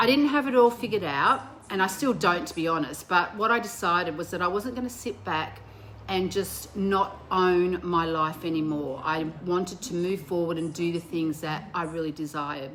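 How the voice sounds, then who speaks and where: A woman with a plain, everyday voice and a fairly low pitch talks at a moderate pace with lively intonation. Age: 60s. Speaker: vlogger and women's motivational speaker. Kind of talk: motivational talk to camera. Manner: casual, conversational with fillers.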